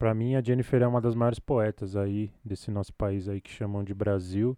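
A man with a dark, mellow tone and a medium pitch talks at a moderate pace with fairly even intonation, the sound dry and close with no echo against a quiet background. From Brazil, São Paulo south zone, Capão Redondo. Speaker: filmmaker. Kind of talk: interview.

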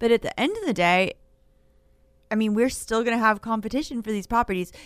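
A woman's fairly high voice with ordinary pitch variation, an unremarkable speaking voice, on a very clean recording with a silent background. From Maine, US. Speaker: realtor association government affairs director. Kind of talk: radio talk show interview.

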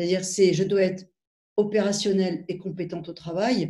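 Talking at a fairly quick pace, a woman has a medium pitch, a dark, mellow tone and monotone, flat intonation. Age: 50s. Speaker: cardiology professor. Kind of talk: interview.

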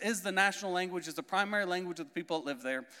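Speaking at a very fast pace, a man with an American accent uses a raised, projected voice. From US Midwest (Indiana). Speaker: missionary. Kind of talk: sermon. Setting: church with audience.

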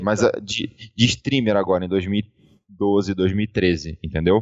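Fairly low in pitch with ordinary pitch variation, a man with an unremarkable speaking voice speaks at a fairly slow pace. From Rio de Janeiro, Brazil. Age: 30s. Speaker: esports player turned streamer. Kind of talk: casual interview chat.

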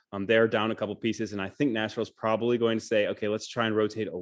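A man with an American accent, fairly low in pitch, over a quiet background. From Michigan, US Midwest. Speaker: sports journalist. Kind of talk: casual interview.

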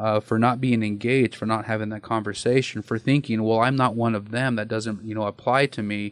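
Speaking at a fairly quick pace with hardly any pauses, a man with an American accent delivers his words in a monotone, flat intonation, the sound dry and close with no echo. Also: medium pitch for a man. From eastern Oregon, US. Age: 40s. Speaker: domestic violence counselor. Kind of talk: interview conversation. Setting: studio.

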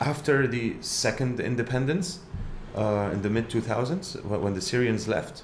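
A man speaks at a fairly slow pace with lively intonation and very even loudness. Noticeable background noise runs behind him. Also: medium pitch for a man. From Lebanon. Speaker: rock musician. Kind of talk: casual interview. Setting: video podcast studio.

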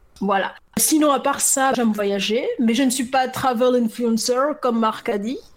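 A woman speaks with a high pitch and fairly even intonation at a fairly slow pace. Background noise is noticeable. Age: 30s. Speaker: author and entrepreneur. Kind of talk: casual interview.

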